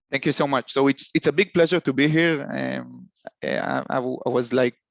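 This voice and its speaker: At a fairly quick pace, a man talks with a non-native accent. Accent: foreign. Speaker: software company solutions consultant. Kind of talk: webinar presentation. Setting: online webinar. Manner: halting, many fillers and repeats.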